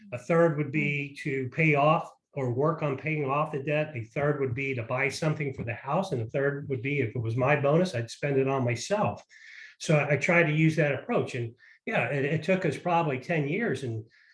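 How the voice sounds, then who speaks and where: A somewhat breathy male voice, fairly high in pitch, at a moderate pace against a quiet background. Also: ordinary pitch variation. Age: 60s. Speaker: parent sharing money advice. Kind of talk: casual interview.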